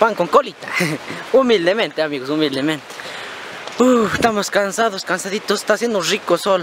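Noticeable background noise surrounds a man whose high-pitched voice has ordinary pitch variation and a moderate pace. The sound is dry with no echo, and he leaves long, frequent pauses. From Ecuador, rural highlands. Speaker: vlogger. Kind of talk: casual vlog narration. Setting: outdoors. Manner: animated.

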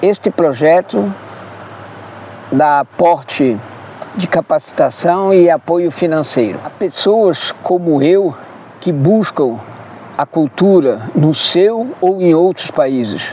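Over light background noise, a man with a high voice and lively intonation speaks at a very slow pace. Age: 70s. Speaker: content creator, digital nomad. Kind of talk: crowdfunding appeal to camera. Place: waterside. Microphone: lapel.

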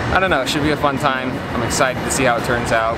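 Loud background noise surrounds a man talking at a very fast pace. His pitch varies in an ordinary way. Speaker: vlogger. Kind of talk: casual vlog chat. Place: street.

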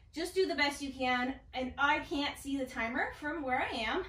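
High-pitched female voice at a moderate pace, ordinary pitch variation, audible room echo. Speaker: fitness instructor. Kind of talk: workout class cueing. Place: empty room.

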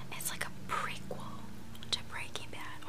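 A soft-spoken woman is whispering. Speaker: vlogger. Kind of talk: casual vlog chat. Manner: close soft whisper with gum. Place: home room. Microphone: webcam.

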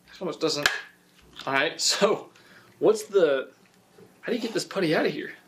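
Through noticeable background noise, a man with a high pitch and lively intonation speaks at a moderate pace, pausing long and often. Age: 20s. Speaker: youtuber. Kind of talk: unboxing video; casual unboxing commentary. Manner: casual, filler-heavy. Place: garage.

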